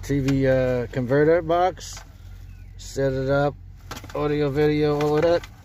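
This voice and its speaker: Someone speaks fairly slowly with long, frequent pauses while noticeable background noise carries on. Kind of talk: casual DIY car project walkthrough. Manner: casual, halting.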